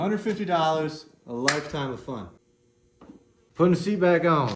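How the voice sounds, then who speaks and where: At a moderate pace, a man mumbles his words. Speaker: home mechanic. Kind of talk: tutorial. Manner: mumbling; casual.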